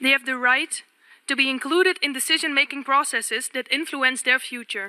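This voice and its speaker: A woman speaks in a raised, projected voice at a high pitch, with a bright, sharp tone. Her pace is fairly quick, her pitch variation ordinary, and the sound is dry and close with no echo. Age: 20s. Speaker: youth delegate. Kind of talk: formal speech. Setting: UN assembly. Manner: formal.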